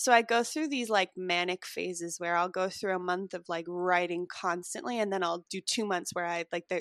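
A woman's normal speaking voice, medium in pitch, with an American accent, fairly even intonation, a moderate pace and hardly any pauses, over a quiet background with dry, close sound and no echo. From Chicago suburbs, US Midwest. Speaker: actor. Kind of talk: interview.

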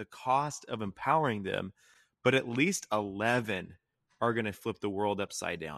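In a plain, everyday voice, a man talks at medium pitch with ordinary pitch variation, the sound dry and close with no echo over a quiet background. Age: 20s. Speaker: faith-based mental health nonprofit co-founder, former youth pastor. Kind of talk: casual interview conversation about faith.

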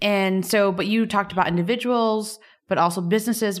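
Talking at a fairly quick pace, a woman with a plain, everyday voice and an American accent keeps a medium pitch and fairly even intonation. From US, Miami. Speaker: podcast co-host, startup co-founder. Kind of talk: interview. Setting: at a tech conference.

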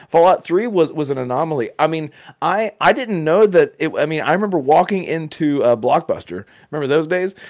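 An ordinary speaking voice. The intonation is lively. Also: man. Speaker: gaming content creator, podcaster. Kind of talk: casual podcast chat.

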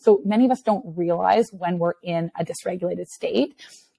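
The sound is dry and close, with no echo. A woman speaks at a medium pitch in a dark, mellow tone. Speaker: therapist and executive coach. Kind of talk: casual interview conversation. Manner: fast talker.

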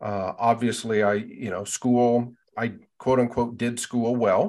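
A man with an American accent and an unremarkable speaking voice talks at medium pitch, at a fairly slow pace. His intonation is fairly even, against a quiet background. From western Nebraska, US. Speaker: university department chair, teacher educator. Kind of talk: interview.

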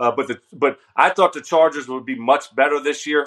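Talking at a fairly quick pace, a man has an ordinary speaking voice. His pitch is fairly high, with fairly even intonation. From US South, Louisiana. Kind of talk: casual sports talk interview.

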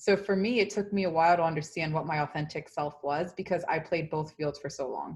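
With an American accent, a woman speaks at a fairly low pitch, somewhat breathy, over a quiet background. Her pace is fairly quick with hardly any pauses, and her pitch variation is ordinary. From New York, South Bronx (Dominican-born). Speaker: tech company employee. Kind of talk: casual interview.

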